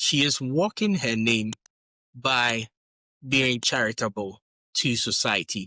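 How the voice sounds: A man talks at a slow pace and a medium pitch. His tone is bright and sharp, with ordinary pitch variation.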